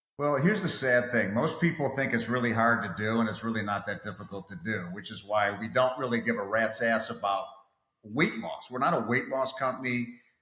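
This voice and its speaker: Fairly quick delivery with ordinary pitch variation and audible room echo. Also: man, medium pitch for a man. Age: 60s. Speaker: fitness coach. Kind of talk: casual interview.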